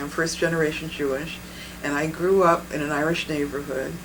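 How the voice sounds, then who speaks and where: Amid noticeable background noise and audible room echo, a woman with an American accent speaks at a moderate pace with monotone, flat intonation and a very deep, low pitch. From New England, US. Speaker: bodywork practitioner. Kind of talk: interview. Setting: filmed interview.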